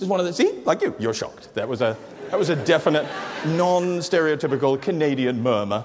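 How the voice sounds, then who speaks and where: Noticeable background noise and audible room echo surround a man with a British accent whose fairly high pitch carries a lively intonation. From England. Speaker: comedian. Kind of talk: stand-up. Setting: stage with audience. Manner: hesitant, with frequent fillers.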